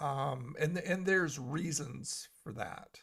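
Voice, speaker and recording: A man's bright, sharp voice, fairly high in pitch, with vocal fry and a very slow pace, on a very clean recording with a silent background. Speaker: live streamer. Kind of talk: casual chat. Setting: live stream. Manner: soft-spoken; halting.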